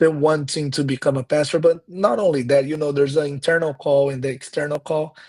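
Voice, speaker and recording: This man, with a Portuguese accent, has a fairly high pitch, a somewhat breathy quality and fairly even intonation. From Brazil (countryside). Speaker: pastor and missionary. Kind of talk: casual interview conversation. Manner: halting, with repeated words.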